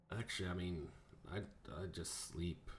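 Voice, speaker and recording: Clear background noise sits behind a man doing a put-on character voice. It is raspy and very deep, at a moderate pace. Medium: actual play. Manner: casual, drawling.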